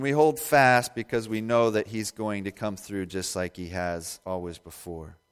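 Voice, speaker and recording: A man with an American accent, fairly low in pitch with ordinary pitch variation, at a moderate pace with hardly any pauses, on a very clean recording with a silent background. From Indiana, US Midwest. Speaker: pastor. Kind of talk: sermon. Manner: halting, many fillers.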